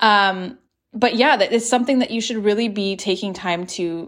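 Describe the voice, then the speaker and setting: On a very clean recording with a silent background, a plain, everyday voice carries ordinary pitch variation. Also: woman. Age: 30s. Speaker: podcast host, single mother. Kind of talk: solo podcast monologue. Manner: casual, frequent fillers and laughs.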